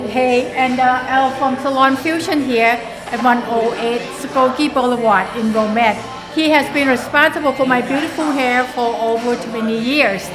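A woman with a high pitch speaks in fairly even intonation over noticeable background noise. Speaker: client vlogger. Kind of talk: casual vlog chat. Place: shop. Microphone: phone near.

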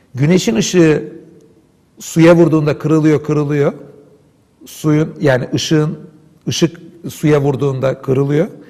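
Against a quiet background, a man speaks at a fairly slow pace with long, frequent pauses, a fairly high pitch, fairly even intonation, and a dark, mellow, somewhat breathy tone. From Istanbul, Turkey. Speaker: philosopher and Islamic scholar. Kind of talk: interview discussion, explanatory talk. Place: studio. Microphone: lapel.

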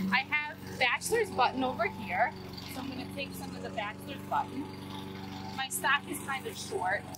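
A woman's voice at a moderate pace with long, frequent pauses over loud background noise. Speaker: flower farmer and video creator. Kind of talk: tutorial. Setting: outdoors on a flower farm. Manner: enthusiastic. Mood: relaxed, pleased. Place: farm. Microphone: camera far.

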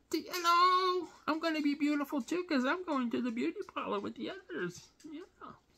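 Squeaky and high-pitched, the put-on character voice moves at a moderate pace with hardly any pauses. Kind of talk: casual vlog chat. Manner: cute, playful. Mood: playful, affectionate.

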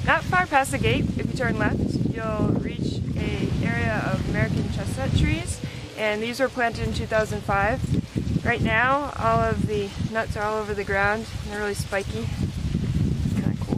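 The speech comes at a fairly slow pace, with a dry sound and no echo, over loud background noise. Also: woman. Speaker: reporter hiking host. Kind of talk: casual vlog chat. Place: open country. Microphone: camera far.

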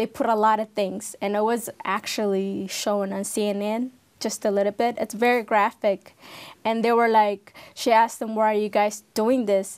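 A fairly high-pitched woman's voice with monotone, flat intonation, over a quiet background. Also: moderate pace. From Ethiopia. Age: 30s. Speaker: civil war survivor sharing her story. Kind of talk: interview testimony. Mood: serious, recounting war trauma. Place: studio. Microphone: lapel.

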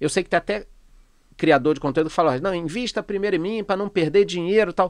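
A high-pitched man talks at a very fast pace with ordinary pitch variation. The sound is dry with no echo, and the background is quiet. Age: 40s. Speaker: economist and finance youtuber; finance youtuber. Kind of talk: casual interview chat. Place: studio. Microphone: studio mic.

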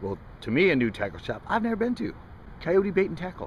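Very fast and full of very wide pitch swings, a man speaks in a dry sound with no echo over light background noise. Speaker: fishing vlogger. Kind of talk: casual vlog chat. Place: street. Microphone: phone near.

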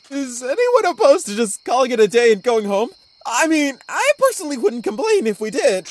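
A put-on character voice with a high pitch and very wide pitch swings moves at a fairly quick pace. It sounds whiny, with a nervous, whiny tone. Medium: cartoon.

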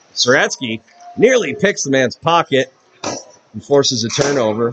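Faint music plays in the background as a man with a medium-pitched voice speaks in an animated tone with lively intonation. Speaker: hockey play-by-play announcer. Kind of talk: live hockey play-by-play commentary. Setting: arena, broadcasting a game to a stream. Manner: rapid-fire, animated, calling the action as it happens; upbeat, friendly broadcaster tone. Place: stadium.

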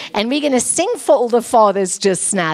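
A woman speaks in a high pitch. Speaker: preacher. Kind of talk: sermon. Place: church. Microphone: handheld.

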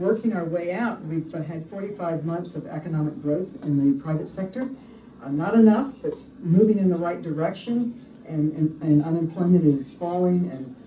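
A woman's fairly low-pitched voice amid light background noise and audible room echo. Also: moderate pace. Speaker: politician giving a speech. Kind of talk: speech. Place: meeting room. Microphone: podium.

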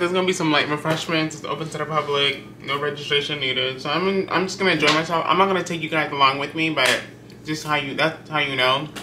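Very fast speech from a man, set against noticeable background noise. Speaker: vlogger. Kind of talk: casual vlog chat. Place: home room. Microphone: camera far.

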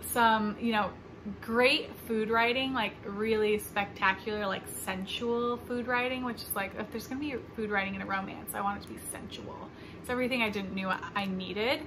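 A woman speaks at a fairly high pitch with ordinary pitch variation. Noticeable background noise is present. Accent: American. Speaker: book vlogger. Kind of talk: casual vlog.

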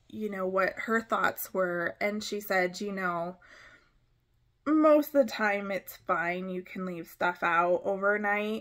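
A woman talks at a very slow pace, and the background is quiet. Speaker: small craft vendor. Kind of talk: casual vlog chat. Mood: relaxed, reflective, some laughs. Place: home room. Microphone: phone near.

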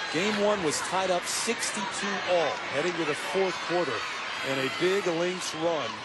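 The speech comes at a very slow pace, dry with no echo, over loud background noise. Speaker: play-by-play basketball announcer. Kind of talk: sports commentary. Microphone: headset.

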